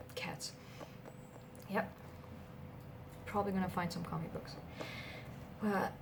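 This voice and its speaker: Soft-spoken and gentle in tone, a woman talks at a moderate pace with long, frequent pauses amid noticeable background noise. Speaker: comic book shop clerk (roleplay). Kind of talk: ASMR roleplay, soft-spoken personal attention. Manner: soft-spoken, gentle.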